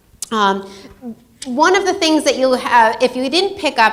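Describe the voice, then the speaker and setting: A woman speaks loudly. There is noticeable background noise behind her. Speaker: event organizer and educator. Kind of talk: event introduction.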